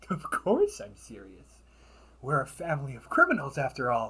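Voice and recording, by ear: A man's put-on character voice, fairly high-pitched, bright and sharp, with a slightly husky edge, vocal fry, very wide pitch swings and a moderate pace.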